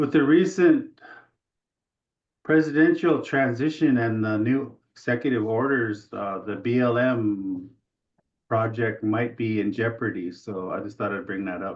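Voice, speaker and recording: Here a man speaks at a fairly slow pace. His pitch is medium, with ordinary pitch variation. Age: 60s. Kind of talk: Q&A comment on webinar. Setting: video call webinar. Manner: halting.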